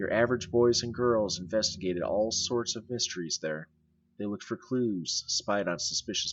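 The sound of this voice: Pitch shifts by an ordinary amount in this unforced reading voice.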